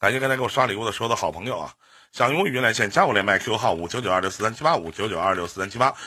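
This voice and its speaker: Very fast and with lively intonation, a man speaks at a fairly low pitch in a bright, sharp tone. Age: 30s. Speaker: live-stream radio host. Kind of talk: call-in advice show.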